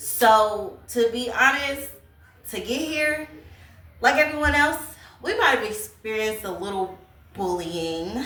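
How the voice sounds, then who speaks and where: An energetic woman's voice at a fairly high pitch, with lively intonation, big swings in loudness, a fairly slow pace and long, frequent pauses, over noticeable background noise and audible room echo. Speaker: YouTuber, lifestyle vlogger. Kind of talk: casual advice talk to camera.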